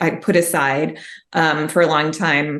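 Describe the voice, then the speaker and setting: A woman speaks in a Chicago accent with a very deep, low pitch and monotone, flat intonation. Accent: Chicago American English. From US Midwest, Chicago. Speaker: mystery author. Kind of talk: interview conversation.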